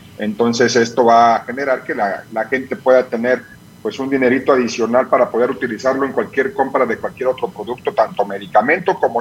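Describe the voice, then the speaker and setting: A man speaks at medium pitch. Noticeable background noise is present. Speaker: pharmacy chain director. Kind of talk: interview. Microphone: dropped line.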